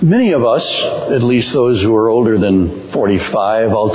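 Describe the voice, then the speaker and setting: Noticeable noise sits in the background as a man speaks. He goes at a fairly slow pace with ordinary pitch variation. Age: 70s. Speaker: guest preacher, campus minister. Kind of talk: sermon. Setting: church.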